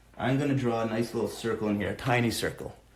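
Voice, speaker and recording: Audible room echo surrounds a somewhat breathy man. He speaks at a fairly quick pace with ordinary pitch variation. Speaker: art teacher for kids. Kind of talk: live drawing tutorial. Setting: live stream from home. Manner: fast.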